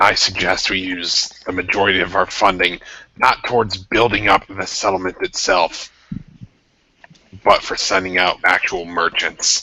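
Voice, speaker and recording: A man puts on a raspy character voice with a very deep, low pitch. He speaks at a moderate pace with monotone, flat intonation. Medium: actual play. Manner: blunt, pragmatic.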